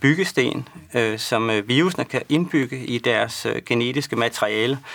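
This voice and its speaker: Vocal fry, with hardly any pauses. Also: man. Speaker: medical researcher answering viewer questions. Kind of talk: live expert Q&A broadcast. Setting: studio. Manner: hesitant, many fillers.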